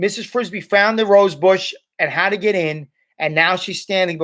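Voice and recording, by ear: In a quiet background, the clip has reading aloud in a natural voice with ordinary pitch variation.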